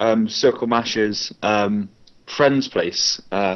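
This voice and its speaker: A man with a Bristol accent speaks with medium pitch and fairly even intonation. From Bristol, England. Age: 20s. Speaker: competitive fighting game player. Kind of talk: casual chat. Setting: live online broadcast.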